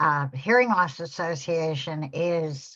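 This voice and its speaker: A woman speaks at a very slow pace with a fairly low pitch. The background is quiet. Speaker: hearing loss advocacy volunteer. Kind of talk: presentation. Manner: soft-spoken.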